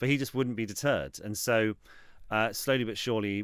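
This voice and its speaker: A man with a southern English accent is heard on a very clean recording against a silent background. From England, Reading. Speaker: football club executive and TV writer. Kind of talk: interview. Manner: halting; animated.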